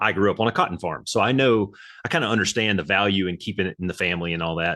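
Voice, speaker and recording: A man with a Southern US accent talks very fast in a bright, sharp voice that is fairly low in pitch. His pitch varies in an ordinary way, and the background is quiet. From Alabama. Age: 40s. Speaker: military veteran and youth coach. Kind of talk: podcast interview. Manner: casual, animated.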